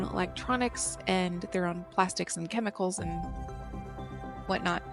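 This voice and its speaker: Over music in the background, a woman talks at a fairly slow pace in a tired tone. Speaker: gaming let's play host. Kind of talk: casual gameplay commentary. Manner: tired-sounding.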